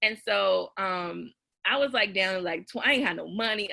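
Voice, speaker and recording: The woman's voice has an animated tone and vocal fry. She speaks with an American accent. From US South. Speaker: writer and former teacher. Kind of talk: casual interview storytelling.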